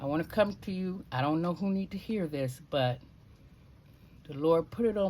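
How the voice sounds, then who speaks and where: The speaker has a normal speaking voice and a moderate pace. Their intonation is lively. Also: woman. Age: 60s. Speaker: lifestyle vlogger. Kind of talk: casual vlog talk with short inspirational message.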